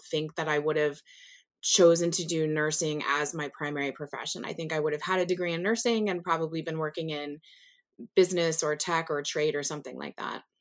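The speaker has an American accent and monotone, flat intonation. The recording is very clean, with a silent background. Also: woman. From US South. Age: 40s. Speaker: nurse and nursing professor. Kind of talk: interview.

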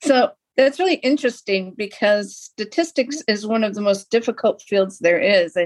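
This woman has a plain, everyday voice at medium pitch. She speaks at a moderate pace with lively intonation. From Lapeer, Michigan, US. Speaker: podcast host, arts center director. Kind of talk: interview.

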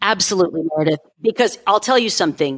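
In a very clean, dry and close recording with a silent background and no echo, a woman's voice makes very wide pitch swings. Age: 50s. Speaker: life coach and podcaster. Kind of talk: interview advice talk.

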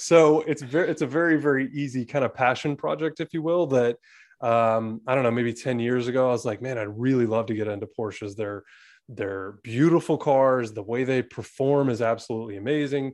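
Against a quiet background, a man with an American accent talks at a fairly quick pace in a normal speaking voice, medium in pitch with ordinary pitch variation. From Atlanta, US South. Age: 30s. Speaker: real estate agent and investor. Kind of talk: interview.

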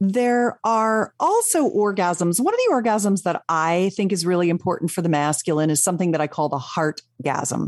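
With an ordinary speaking voice, a woman talks at a moderate pace and a medium pitch, her intonation lively, her loudness very even, and hardly any pauses, in a dry, close sound with no echo. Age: 60s. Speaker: sex educator and author. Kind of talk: casual chat. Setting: studio.

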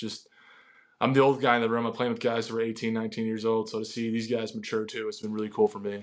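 A man speaks at a very fast pace in an American accent. His pitch is medium and his intonation monotone and flat. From Wisconsin. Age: 20s. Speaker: college basketball player. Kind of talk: casual interview.

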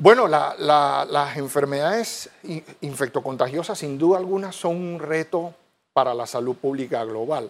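Lively intonation marks this man's fairly high-pitched voice. He talks at a fairly slow pace. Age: 40s. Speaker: infectious disease physician. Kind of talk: TV interview. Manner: halting, many repeated words.

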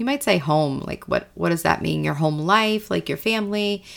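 A woman speaks in an animated tone. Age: 40s. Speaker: life coach, podcast host. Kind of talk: casual monologue podcast.

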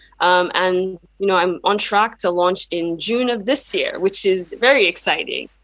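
A woman speaks with a Yoruba accent. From Nigeria. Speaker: brand marketing consultant. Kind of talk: interview. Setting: video call.

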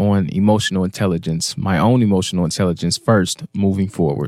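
In an ordinary speaking voice, a man talks at a fairly quick pace with fairly low pitch and ordinary pitch variation, the sound dry and close with no echo on a very clean recording with a silent background. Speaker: reads listener comments aloud. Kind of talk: reading aloud.

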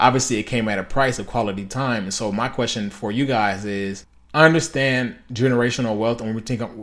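With medium pitch and ordinary pitch variation, a man talks at a fairly quick pace. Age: 20s. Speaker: podcast host and military veteran. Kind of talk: casual solo monologue. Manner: halting, many fillers.

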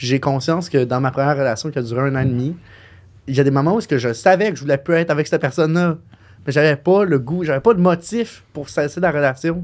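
A man with a fairly high pitch races along at a very fast pace, his pitch varying in an ordinary way. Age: 20s. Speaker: podcast co-host. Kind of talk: casual chat.

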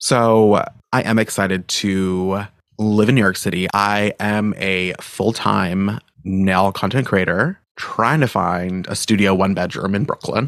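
A man with an American accent speaks in a plain, everyday voice at a fairly slow pace, his intonation fairly even, on a very clean recording with a silent background. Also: fairly low pitch for a man. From Maine, US. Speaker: podcast host and nail content creator. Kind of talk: solo casual chat. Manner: laughs often.

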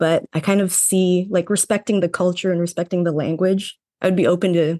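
Recorded dry and close with no echo, a woman with a Canadian accent speaks fairly quickly in a plain, everyday voice, her medium pitch held in fairly even intonation. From Canada, Toronto. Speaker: cybersecurity engineer. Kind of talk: interview.

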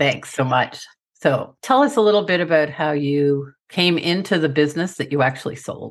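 The woman's voice is very deep and low, with ordinary pitch variation. She speaks at a moderate pace against a quiet background. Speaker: business strategist and podcast host. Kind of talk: podcast interview, host intro. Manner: straight-talking.

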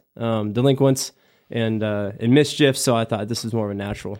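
In a normal speaking voice, a man with an American accent talks at a fairly quick pace and medium pitch with ordinary pitch variation, captured on a very clean recording with a silent background. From Nebraska (small town, western). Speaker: fire captain. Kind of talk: casual chat. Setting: home man cave, video recording.

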